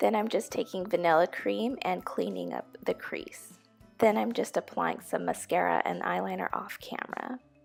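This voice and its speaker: Music behind a woman's voice, at a moderate pace. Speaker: beauty YouTuber. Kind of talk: makeup tutorial voiceover.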